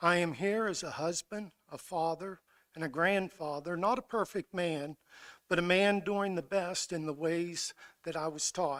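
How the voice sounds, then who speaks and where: Dry and close with no echo, a man in an American accent talks at a moderate pace with a high pitch and fairly even intonation. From Garrett County, western Maryland. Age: 60s. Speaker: public commenter. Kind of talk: public comment statement. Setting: school board meeting.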